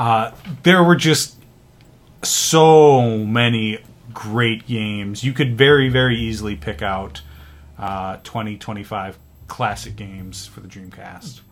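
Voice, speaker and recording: Intonation rises and falls in a lively way. The delivery is very slow. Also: man, fairly low pitch for a man. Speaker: podcast host. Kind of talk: casual chat.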